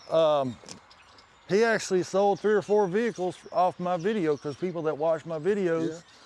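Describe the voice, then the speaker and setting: An American-accented man speaks at a moderate pace with a high pitch and ordinary pitch variation. Noticeable background noise is present. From northern Indiana. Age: 50s. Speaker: car and fabrication YouTuber. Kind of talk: casual chat.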